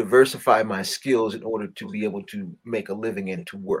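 At a moderate pace, a man talks in an unremarkable speaking voice, medium in pitch, with ordinary pitch variation. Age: 50s. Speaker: mountaineer and expedition leader. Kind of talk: interview.

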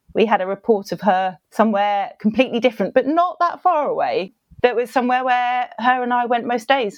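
With hardly any pauses, a woman speaks at a fairly quick pace in a high pitch, her intonation lively. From Surrey, England. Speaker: author and dog foster carer. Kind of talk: interview chat, storytelling. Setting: remote call.

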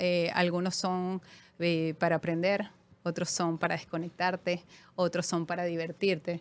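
A woman's fairly low voice in a Venezuelan accent, very even in loudness, with monotone, flat intonation and a fairly slow pace. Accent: noticeable Venezuelan. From Venezuela, Caracas. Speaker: finance executive. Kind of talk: interview.

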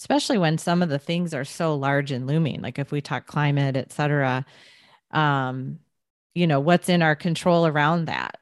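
A woman speaks at a moderate pace with a very deep, low pitch. The sound is dry and close with no echo, with music in the background. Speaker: podcast host. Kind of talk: interview, conversational. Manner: animated.

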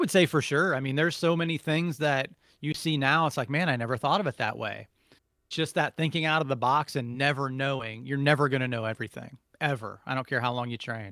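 Very fast American-accented man, fairly high-pitched and bright, sharp in tone, ordinary pitch variation, in a very clean, dry, close recording with a silent background and no echo. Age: 40s. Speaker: martial arts instructor. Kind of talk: interview.

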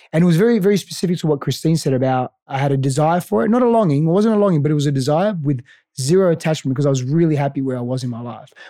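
Talking at a very fast pace, a man with an Australian accent has a fairly high pitch, a dark, mellow tone and lively intonation. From Greece and Australia. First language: Greek. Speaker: life coach. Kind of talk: interview conversation.

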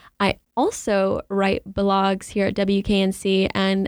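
In a dry, close recording with no echo, a woman of medium pitch talks with an American accent. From Charlotte, North Carolina. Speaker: college radio DJ and blogger. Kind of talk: casual storytelling chat. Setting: studio. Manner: hesitant, many fillers.

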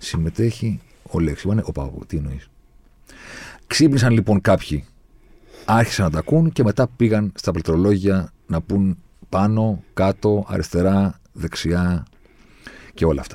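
On a very clean recording with a silent background, a man speaks at a fairly slow pace with long, frequent pauses. His fairly low voice carries lively intonation. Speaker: podcast host. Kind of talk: casual chat. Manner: animated.

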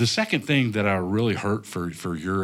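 A man speaks in a normal speaking voice, fairly low in pitch with ordinary variation. The recording is very clean, with a silent background. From North Carolina, US South. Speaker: business owner. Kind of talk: interview.

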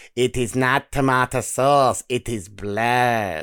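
Using a put-on character voice at medium pitch, a man performs in a very clean recording with a silent background. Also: very slow pace. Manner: dramatic, deadpan.

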